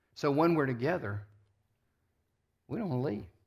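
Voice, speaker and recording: This very clean recording has a silent background. A man speaks in a somewhat breathy voice. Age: 60s. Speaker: pastor. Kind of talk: sermon.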